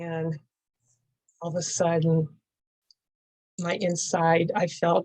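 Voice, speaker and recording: Somewhat breathy and fairly low-pitched, a woman speaks in a dark, mellow tone with monotone, flat intonation. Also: dry, close sound with no echo. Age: 70s. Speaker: author and horse rider. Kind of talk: interview. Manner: halting.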